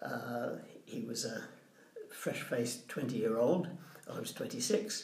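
A man speaks at a very slow pace with long, frequent pauses. Noticeable background noise is present. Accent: Southern English. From England, Portsmouth. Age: 80s+. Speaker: retired social worker. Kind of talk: casual chat.

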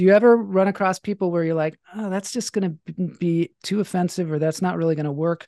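With a normal speaking voice, a woman talks at a fairly quick pace against a quiet background, her pitch medium and her intonation fairly even. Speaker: podcast host and comedian. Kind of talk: casual interview chat.

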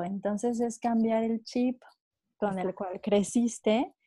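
On a very clean recording with a silent background, a woman speaks at a moderate pace in a dark, mellow, somewhat breathy voice that is fairly high-pitched, with fairly even intonation. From Mexico. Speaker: wellness coach. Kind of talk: interview.

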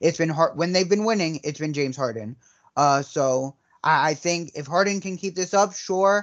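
The pace is moderate. The background is quiet. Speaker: podcast co-host. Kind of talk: casual sports banter.

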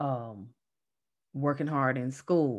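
A woman's very slow speech in a Southern US accent. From North Carolina, US South. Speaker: energy healer and Reiki teacher. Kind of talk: casual chat.

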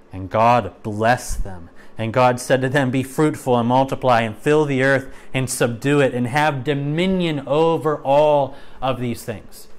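A man talks at a fairly slow pace with medium pitch and ordinary pitch variation, in an ordinary speaking voice. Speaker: Bible teacher. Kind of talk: Bible study lesson mixing teaching with reading scripture aloud. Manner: measured, earnest, expository; reads scripture slowly and solemnly, then explains in a conversational tone.

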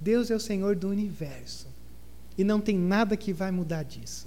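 This man has a high pitch and a dark, mellow tone. He talks at a moderate pace with audible room echo. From southern Brazil. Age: 30s. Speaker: pastor. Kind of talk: sermon. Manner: animated.

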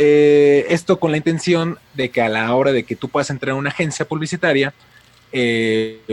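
A man at a moderate pace, ordinary pitch variation, in a dry, close sound with no echo. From Mexico City. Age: 20s. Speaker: YouTube film critic. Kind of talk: casual interview.

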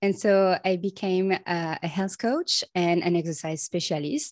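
A woman with a French accent, fairly low pitch and ordinary pitch variation at a fairly slow pace, in a very clean recording with a silent background and a dry, close sound with no echo. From France. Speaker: osteopath. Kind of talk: podcast interview.

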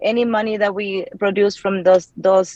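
In a Mexican accent, a woman speaks at a medium pitch and a fairly slow pace with monotone, flat intonation, recorded with a dry, close sound and no echo. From Mexico. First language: Spanish. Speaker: real estate investor and anesthesia provider. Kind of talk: interview. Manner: hesitant with frequent fillers.

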